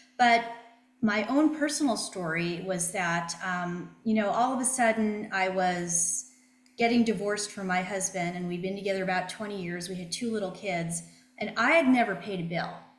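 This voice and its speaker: Noticeable background noise and audible room echo surround this recording. A woman speaks at a moderate pace with a medium pitch and ordinary pitch variation. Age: 60s. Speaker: financial planner. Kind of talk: interview.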